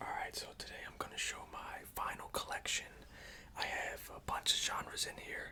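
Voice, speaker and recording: Every word comes out in a whisper. The speed stays moderate. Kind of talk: ASMR vinyl collection showcase. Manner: whispered; soft, calming.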